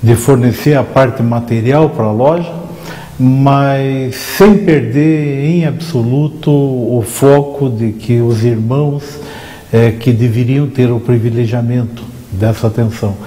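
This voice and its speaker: Amid noticeable background noise and audible room echo, a man talks at a very slow pace in a medium pitch with ordinary pitch variation. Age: 60s. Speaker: freemason lodge leader. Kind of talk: interview. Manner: formal.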